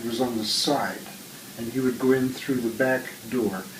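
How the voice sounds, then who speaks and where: A man with an American accent speaks at a medium pitch and a moderate pace. Noticeable background noise runs underneath. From US Midwest, Iowa. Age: 90s. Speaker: interviewee. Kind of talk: casual chat.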